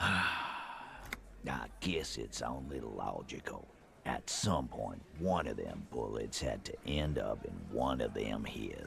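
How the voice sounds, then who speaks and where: Through clear background noise, a man puts on a character voice of very deep, low pitch and speaks at a very slow pace. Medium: video game. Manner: cocky, sardonic.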